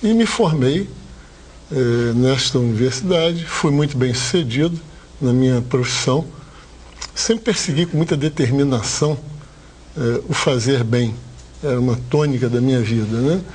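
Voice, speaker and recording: This man speaks at a fairly slow pace with long, frequent pauses, a medium pitch and ordinary pitch variation. His loudness stays very even, and there is noticeable background noise. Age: 60s. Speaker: hotel owner, former dentist. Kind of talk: TV interview.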